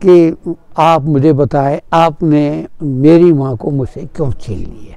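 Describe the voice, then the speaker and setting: A man's fairly high voice carries a dark, mellow tone. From Kashmir, Tral. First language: Punjabi (speaking Hindi). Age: 80s+. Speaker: author and retired teacher. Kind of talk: interview testimony. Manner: halting, with filler sounds.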